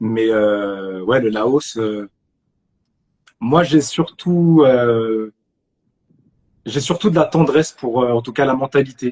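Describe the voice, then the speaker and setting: A man speaks at a very slow pace, with long, frequent pauses. His pitch is medium and his intonation lively. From France, Argenteuil (Paris suburbs). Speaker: actor. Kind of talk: casual chat. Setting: live stream. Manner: halting, many repetitions.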